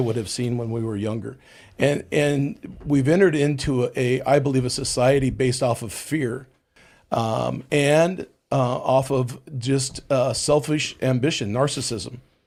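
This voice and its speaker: Using an ordinary speaking voice, a man speaks at medium pitch with ordinary pitch variation. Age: 60s. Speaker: pastor. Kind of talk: casual panel discussion.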